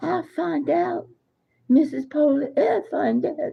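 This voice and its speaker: A put-on character voice in a drawling Southern accent, fairly slow, with lively intonation. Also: woman, high pitch for a woman. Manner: laid on thick, slow and drawling.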